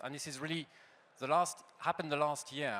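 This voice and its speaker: A man speaks with a French accent. His tone is bright and sharp. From France. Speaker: industry association head. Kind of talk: conference panel talk. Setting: stage with audience.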